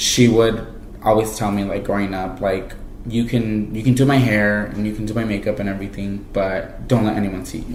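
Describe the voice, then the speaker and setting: Amid audible room echo and noticeable background noise, a man with a Spanish accent talks at a fairly quick pace in a monotone, flat intonation. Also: fairly low pitch for a man. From Mexico, Jalisco; raised in California from age 5. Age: 20s. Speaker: college student. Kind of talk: interview testimony. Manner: casual with many fillers.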